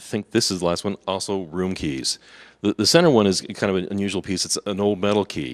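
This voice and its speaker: Fairly quick speech in a dry, close sound with no echo over a quiet background. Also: man. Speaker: convention workshop presenter. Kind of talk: seminar presentation with slides. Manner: fast.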